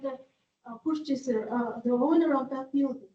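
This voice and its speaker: A woman with a non-native accent, fairly slow pace and fairly even intonation. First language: not English. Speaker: resident at public meeting. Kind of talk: public comment. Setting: public library meeting room. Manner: halting.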